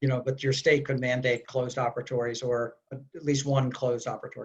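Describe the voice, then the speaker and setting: Somewhat breathy, a man speaks fairly quickly at a medium pitch in a monotone, flat intonation against a quiet background. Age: 60s. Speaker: infection control expert; panelist. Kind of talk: webinar Q&A. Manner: hesitant, many fillers. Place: home room. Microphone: video call.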